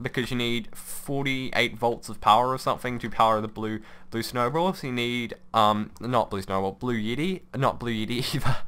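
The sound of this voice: A man speaks at a medium pitch with a fairly bright tone. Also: ordinary pitch variation, moderate pace.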